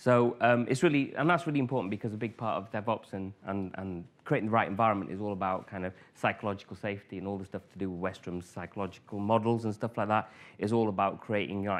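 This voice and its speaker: A man with a northern English accent talks at a very fast pace in a fairly low pitch. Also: ordinary pitch variation. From northern England, Grimsby. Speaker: conference speaker, former IT manager. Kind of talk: conference talk. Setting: stage with audience. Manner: hesitant, many fillers.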